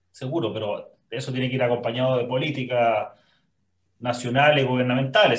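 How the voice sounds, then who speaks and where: A somewhat breathy man's voice. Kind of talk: interview conversation.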